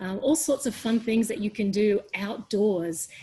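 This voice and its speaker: A woman with an Australian accent speaks at a fairly slow pace in a somewhat breathy, dark, mellow tone, her fairly high pitch showing ordinary variation. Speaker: education leader and teacher. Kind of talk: webinar panel discussion.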